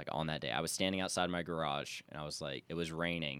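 Over a silent background in a very clean recording, the speaker talks fairly quickly with an American accent, vocal fry, and ordinary pitch variation. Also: man. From US South, Charleston, South Carolina. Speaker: photographer and writer. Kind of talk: casual interview chat. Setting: studio, video podcast.

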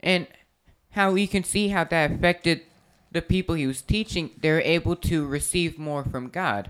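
An ordinary speaking voice from a woman, fairly low in pitch, with ordinary pitch variation at a moderate pace. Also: very clean recording, silent background. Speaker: Bible study host. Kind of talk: prayer and Bible study discussion.

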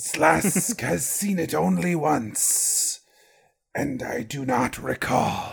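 A man puts on a raspy character voice at a medium pitch. He speaks very slowly and swings his pitch very widely. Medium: actual play. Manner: formal, stilted, no contractions.

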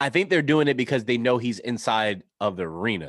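A man speaks with an American accent at a moderate pace, his medium-pitched voice animated and full of lively intonation. The sound is dry and close with no echo, over a quiet background. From New York. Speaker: sports podcast co-host. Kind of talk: casual chat.

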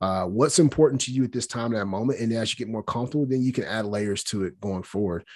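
A man with a Southern US accent talks very fast at a medium pitch with ordinary pitch variation and hardly any pauses, on a very clean recording with a silent background. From Alabama. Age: 30s. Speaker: strength and conditioning coach. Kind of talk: interview. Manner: casual, many fillers.

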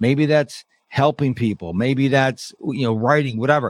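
An animated man at medium pitch is heard in a dry, close recording with no echo. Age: 50s. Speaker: productivity expert and podcast host. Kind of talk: interview.

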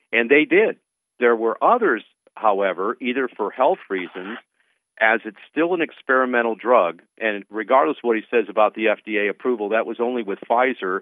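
A man with an American accent and a plain, everyday voice, medium in pitch, at a fairly quick pace. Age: 60s. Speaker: radio host and advocacy group president. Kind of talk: talk radio interview.

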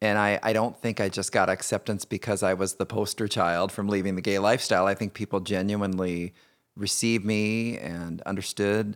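This is a plain, everyday voice at a moderate pace with fairly even intonation. The sound is dry and close with no echo, in a very clean recording with a silent background. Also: man. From Indiana, US Midwest. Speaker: podcast host, author and speaker. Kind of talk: personal storytelling interview.

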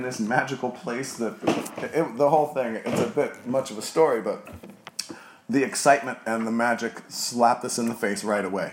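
A man with an American accent at a fairly quick pace, amid noticeable background noise. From New Jersey. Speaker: bar owner. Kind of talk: casual interview.

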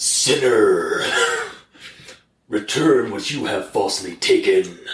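In a put-on character voice pitched extremely high, a man talks at a fairly slow pace. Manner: commanding, stern.

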